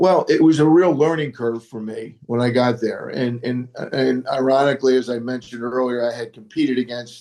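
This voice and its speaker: A man speaks fairly quickly at a medium pitch, with hardly any pauses. His tone is dark and mellow, and his intonation stays fairly even. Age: 70s. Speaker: retired basketball coach. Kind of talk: interview. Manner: halting, many repeated words.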